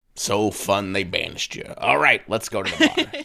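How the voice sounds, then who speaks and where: Put-on character voice from a man, pitched fairly low and delivered at a moderate pace. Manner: dry, laconic, sardonic.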